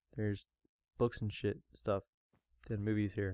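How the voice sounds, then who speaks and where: Fairly quick speech, dry with no echo, against a quiet background. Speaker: gamer narrating. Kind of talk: casual gameplay commentary. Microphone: headset.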